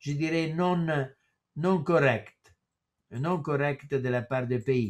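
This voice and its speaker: A man speaks very slowly in an Italian accent, his intonation lively. The background is quiet. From Italy. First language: Italian (speaking French). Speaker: professor. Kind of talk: lecture. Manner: halting. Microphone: webcam.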